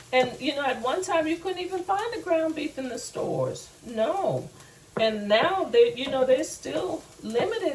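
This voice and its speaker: A woman speaks with an American accent. Background noise is noticeable. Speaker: home cooking show host. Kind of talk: cooking tutorial.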